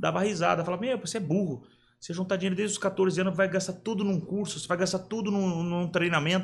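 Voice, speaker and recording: A man speaks at a fairly quick pace in a high voice. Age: 40s. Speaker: hairdresser. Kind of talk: casual interview.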